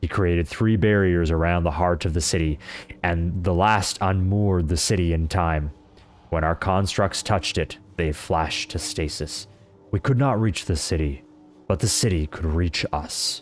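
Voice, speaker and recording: Over clear background music, someone uses a put-on character voice at a moderate pace. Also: man, very deep, low pitch for a man. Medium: game stream. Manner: bleak, grim.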